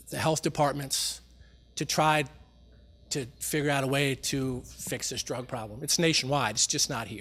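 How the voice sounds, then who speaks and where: A man's fairly high voice at a moderate pace, fairly even in intonation, on a very clean recording with a silent background. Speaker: sheriff's office operations commander. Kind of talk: town hall briefing. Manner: soft-spoken.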